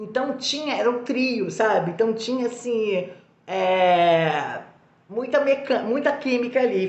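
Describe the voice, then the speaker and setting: A woman's lively intonation, with audible room echo and noticeable background noise. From Brazil, Minas Gerais. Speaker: actress. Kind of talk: interview answers, anecdotal. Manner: animated, hesitant with fillers.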